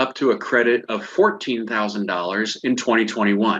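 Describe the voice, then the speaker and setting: A plain, everyday voice at a moderate pace. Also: man. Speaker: financial advisor presenting a webinar. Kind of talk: webinar presentation. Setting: online webinar.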